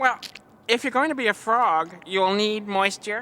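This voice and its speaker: A cartoonish character voice that sounds female is pitched fairly high. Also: moderate pace. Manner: dopey, cheeky.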